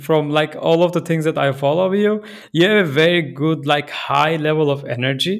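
A man with a Turkish accent talks at a fairly high pitch with ordinary pitch variation. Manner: halting, with fillers.

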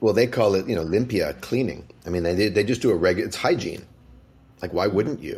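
A man with a Canadian accent, fairly low-pitched and somewhat breathy, at a fairly quick pace. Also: ordinary pitch variation. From Canada, Vancouver. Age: 40s. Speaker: author and musical theater writer. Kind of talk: interview conversation.

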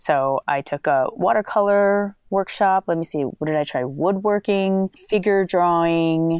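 With an American accent, a woman speaks at a fairly slow pace in a plain, everyday voice with ordinary pitch variation, the sound dry and close with no echo. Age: 30s. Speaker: calligrapher and creative entrepreneur. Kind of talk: casual interview.

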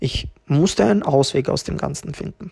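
The man's voice is somewhat breathy and fairly high in pitch. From Tirol, Austria (refugee from ex-Yugoslavia at age six). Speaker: podcast host, entrepreneur. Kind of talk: personal storytelling monologue.

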